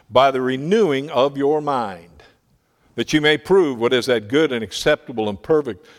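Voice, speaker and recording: A man with an American accent speaks at a moderate pace and medium pitch, with lively intonation. It is an ordinary speaking voice on a very clean recording with a silent background. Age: 60s. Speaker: Bible printing ministry missionary. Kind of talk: sermon. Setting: church.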